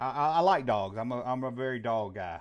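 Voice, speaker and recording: This man speaks with a Southern US accent. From US South. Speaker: call-in show host. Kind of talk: live call-in show chat. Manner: casual, folksy.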